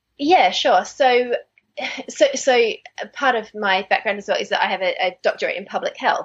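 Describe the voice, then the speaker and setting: A woman speaks with an Australian accent. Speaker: dentist. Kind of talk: interview.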